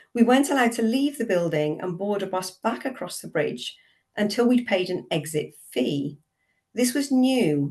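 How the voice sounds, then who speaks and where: A British-accented woman speaks at a medium pitch and moderate pace. Her somewhat breathy voice swings very widely in pitch. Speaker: theology professor. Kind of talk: webinar talk.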